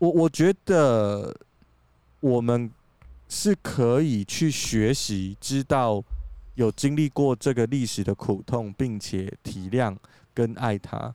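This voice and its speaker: A man with a Taiwanese accent and a dark, mellow tone, very slow with long, frequent pauses and lively intonation, in a dry, close sound with no echo on a very clean recording with a silent background. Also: medium pitch for a man. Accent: Taiwanese Mandarin. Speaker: podcast co-host. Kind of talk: casual chat. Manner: animated.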